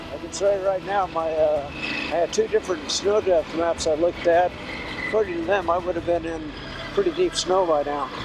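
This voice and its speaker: A fairly quick, high-pitched man in a West Coast US accent, with ordinary pitch variation and noticeable background noise. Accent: American (West Coast). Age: 70s. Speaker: motorcycle vlogger. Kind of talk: self-filmed ride commentary. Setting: outdoors on a motorcycle. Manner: casual, with fillers.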